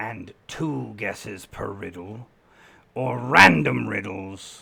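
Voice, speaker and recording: A man puts on a raspy character voice with a very deep, low pitch and very wide pitch swings. He speaks at a very slow pace. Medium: actual play. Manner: formal, imperious.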